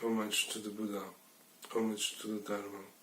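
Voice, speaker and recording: At a moderate pace and a fairly low pitch, a man speaks in a flat monotone with noticeable background noise. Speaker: Buddhist teacher leading a Zen sangha. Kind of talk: dharma talk / teaching. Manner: conversational, hesitant with some filler words.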